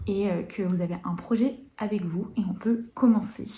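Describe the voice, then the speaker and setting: A woman's voice at medium pitch has a dark, mellow tone and is somewhat breathy. She keeps a moderate pace and fairly even intonation, with audible room echo. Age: 20s. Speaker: knitting podcaster. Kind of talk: casual chat. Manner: hesitant, many fillers.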